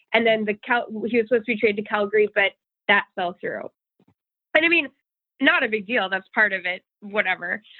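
A woman talks at a very fast pace with a fairly high pitch and ordinary pitch variation. Long, frequent pauses break up her speech. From Minnesota, St. Cloud. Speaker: sports radio host. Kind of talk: casual chat.

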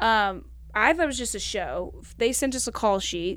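Moderately paced speech from a woman, very clean recording and silent background. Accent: Southern US. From Kentucky, US South. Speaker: stand-up comedian. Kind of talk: casual interview chat. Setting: podcast studio.

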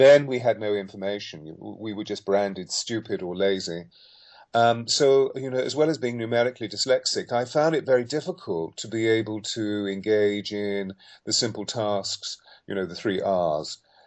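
This man has an ordinary speaking voice with a fairly low pitch. He talks at a moderate pace with ordinary pitch variation. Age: 60s. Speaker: voice coach and sound healer. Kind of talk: interview.

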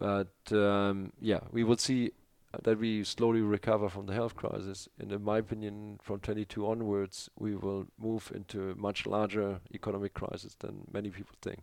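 This man speaks at a moderate pace in a German accent, his pitch fairly low. His intonation is monotone and flat, and the background is quiet. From northern Germany. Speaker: aerospace executive. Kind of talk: interview. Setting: in person in Berlin.

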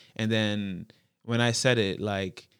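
A man with a Toronto accent, fairly low pitch, fairly even intonation and a very slow pace. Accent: Toronto urban Canadian English. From Toronto, Canada (Jane and Finch area). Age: 20s. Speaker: rapper and youth worker. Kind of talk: casual interview conversation. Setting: in-person room across a desk.

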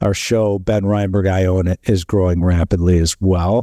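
Over a silent background in a very clean recording, a man with a Chicago accent speaks in a very deep, low voice with a dark, mellow tone. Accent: Chicago Midwestern. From Chicago, US Midwest. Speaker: real estate fund investor. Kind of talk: casual interview.

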